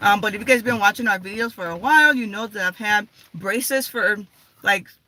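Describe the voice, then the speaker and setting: The voice is raised and projected. It moves at a fairly quick pace. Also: man, high pitch for a man, ordinary pitch variation. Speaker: vlogger. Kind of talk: casual live stream chat. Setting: live stream at home.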